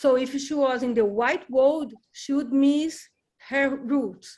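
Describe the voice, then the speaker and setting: A woman with a high voice and a Brazilian Portuguese accent speaks at a very slow pace. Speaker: book group member. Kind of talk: casual discussion. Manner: halting.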